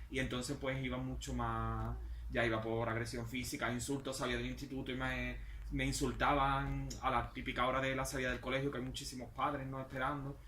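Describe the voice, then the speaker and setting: Audible room echo follows a man as he speaks at a fairly quick pace. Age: 40s. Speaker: author. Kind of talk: book presentation talk. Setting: bookshop event with audience.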